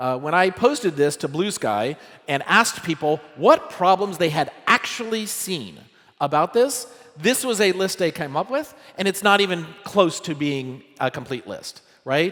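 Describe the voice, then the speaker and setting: A loud man's voice, high in pitch, makes very wide pitch swings over noticeable background noise. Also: moderate pace. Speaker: tech startup co-founder giving a conference talk. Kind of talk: conference talk. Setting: stage with audience. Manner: casual, conversational with many fillers.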